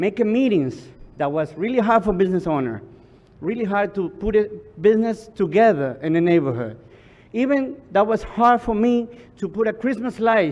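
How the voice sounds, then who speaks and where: Lively in intonation, a man speaks in a high pitch. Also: moderate pace. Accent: Spanish. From Ecuador. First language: Spanish. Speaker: business association leader. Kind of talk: public testimony. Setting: public hearing. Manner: halting.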